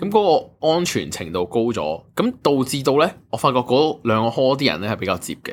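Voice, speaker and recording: Hardly pausing, a man talks at a medium pitch with very wide pitch swings. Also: moderate pace. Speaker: podcast co-host. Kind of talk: casual chat.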